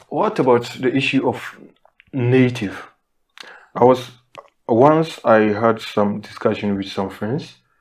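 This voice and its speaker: Speaking very slowly with a non-native accent, this voice has ordinary pitch variation and long, frequent pauses. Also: man, medium pitch for a man. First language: not English. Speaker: podcast co-host. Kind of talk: casual discussion.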